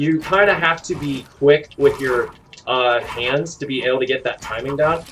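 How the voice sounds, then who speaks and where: Noticeable noise is audible in the background. Over it, a man talks with ordinary variation in pitch. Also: fairly high pitch for a man. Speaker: gaming streamer. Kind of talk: tutorial. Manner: fast; halting.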